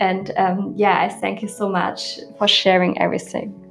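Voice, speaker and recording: A woman with a German accent, at a fairly slow pace. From Germany. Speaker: podcast host, yoga teacher. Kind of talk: interview.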